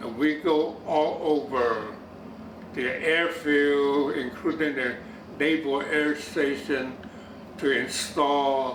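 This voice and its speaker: Through noticeable background noise, a man talks very slowly at a fairly high pitch with fairly even intonation. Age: 80s+. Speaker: war veteran. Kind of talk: interview answer.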